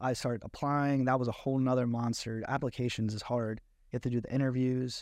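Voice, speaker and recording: Against a quiet background, a man talks at a fairly quick pace. His pitch is medium and his intonation monotone and flat. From South Jersey, Egg Harbor Township. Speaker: reality TV contestant. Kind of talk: casual interview.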